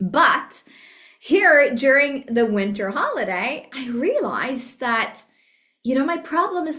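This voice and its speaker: A woman's raised, projected voice with a Norwegian accent, high-pitched and bright and sharp, with lively intonation at a fairly slow pace. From Norway. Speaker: business trainer. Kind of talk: training talk. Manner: casual, conversational.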